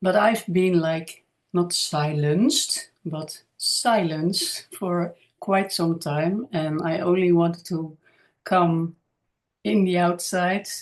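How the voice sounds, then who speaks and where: The speech comes at a very slow pace in a Dutch accent. Pitch variation is ordinary. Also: woman, fairly low pitch for a woman. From Netherlands. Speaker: spiritual healer and channel creator. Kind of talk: casual monologue to camera. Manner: halting, many fillers.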